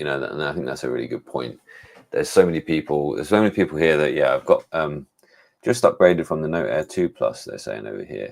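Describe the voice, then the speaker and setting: Very fast in pace, a man with an English accent speaks with big swings in loudness. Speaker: tech reviewer. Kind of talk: live stream chat. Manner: casual, hesitant with fillers.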